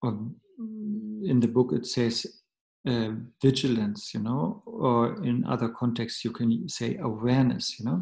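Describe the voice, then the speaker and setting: A man's somewhat breathy, medium-pitched voice with a German accent, fairly slow and lively in intonation. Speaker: Buddhist teacher. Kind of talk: dharma teaching. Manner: halting.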